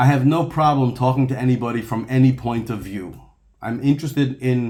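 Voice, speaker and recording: A man's somewhat breathy, dark, mellow voice at medium pitch, with fairly even intonation and a fairly quick pace. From Egypt. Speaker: rabbi and video blogger. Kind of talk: monologue commentary. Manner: fast; halting with self-corrections.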